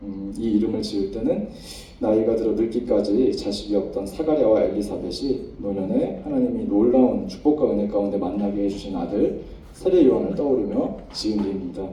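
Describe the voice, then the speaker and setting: A man at a fairly quick pace amid noticeable background noise and audible room echo. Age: 40s. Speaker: pharmacist giving church testimony. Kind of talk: testimony. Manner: halting.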